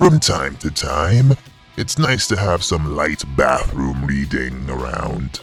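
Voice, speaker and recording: Clear music plays in the background as a man in a put-on character voice speaks at a fairly slow pace with a very deep, low pitch. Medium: audio drama. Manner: smooth, cryptic, condescending.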